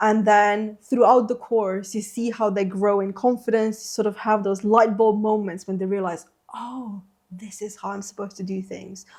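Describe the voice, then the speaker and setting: Speaking in a Slovene accent, a woman holds a medium pitch with monotone, flat intonation. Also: moderate pace, big swings in loudness. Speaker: interpreter trainer. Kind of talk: podcast interview. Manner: hesitant, many fillers.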